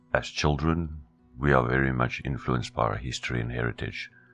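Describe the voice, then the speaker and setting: A very deep, low-pitched man at a fairly quick pace, fairly even intonation, and music in the background. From Namibia. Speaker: voice actor.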